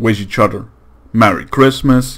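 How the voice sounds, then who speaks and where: This man talks at a fairly slow pace with a Dutch accent and a medium pitch. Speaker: gaming YouTuber. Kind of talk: gameplay commentary outro. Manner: halting.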